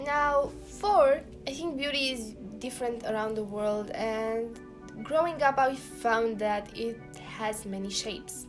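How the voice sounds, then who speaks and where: A woman with a non-native accent and a fairly high pitch, ordinary pitch variation and a very slow pace, with music in the background. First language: not English. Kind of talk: casual talk to camera.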